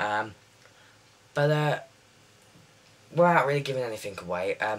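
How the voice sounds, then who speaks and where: Lively intonation marks a man's medium-pitched voice with a British accent. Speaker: TV show reviewer. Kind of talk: casual video review. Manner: fast; halting, many fillers.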